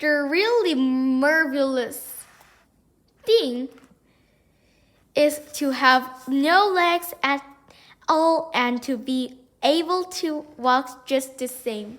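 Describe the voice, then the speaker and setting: A woman uses a high-pitched, put-on character voice at a very slow pace, with long, frequent pauses. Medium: read story. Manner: prim, fussy.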